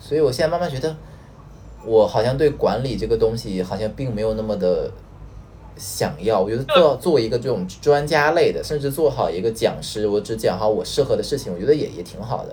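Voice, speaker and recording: Over noticeable background noise, a man talks at a fairly quick pace with a medium pitch and lively intonation. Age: 30s. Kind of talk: casual chat. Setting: online call.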